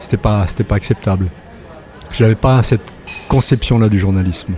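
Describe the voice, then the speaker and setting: At a moderate pace, a man with fairly low pitch talks with fairly even intonation and very even loudness over noticeable background noise. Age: 60s. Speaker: retired journalist. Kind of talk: casual interview. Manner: hesitant, many fillers.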